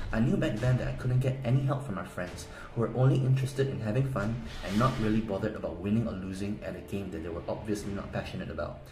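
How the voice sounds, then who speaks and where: Very fast speech from a man at a medium pitch in a Korean accent, with audible room echo and music in the background. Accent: Korean accent, somewhat. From South Korea. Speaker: gaming guide promoter. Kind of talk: sales pitch. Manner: animated.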